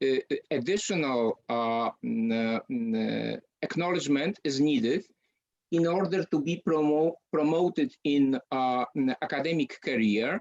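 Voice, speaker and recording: Someone speaks at a very slow pace with a Polish accent against a quiet background. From Poland. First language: Polish (speaking Ukrainian). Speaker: university lecturer. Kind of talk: lecture. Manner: halting, many fillers.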